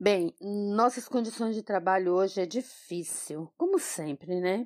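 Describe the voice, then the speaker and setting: The recording is very clean with a silent background and a dry, close sound with no echo. Pitch variation is ordinary. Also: woman. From Brazil, migrant from another state. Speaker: school kitchen coordinator. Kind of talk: personal testimony.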